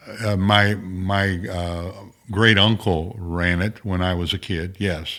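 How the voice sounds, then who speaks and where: A man with a Midwestern American accent talks at a very slow pace in a very deep, low pitch. His tone is bright and sharp, and his intonation stays monotone and flat. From southern Illinois, rural German farm community. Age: 80s+. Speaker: former state senator. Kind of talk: interview conversation. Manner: halting, many fillers and repetitions.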